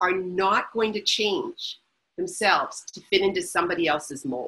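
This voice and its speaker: A woman speaks in a bright, sharp tone with very wide pitch swings. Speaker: author and researcher. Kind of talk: webinar interview. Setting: online webinar. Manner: fast.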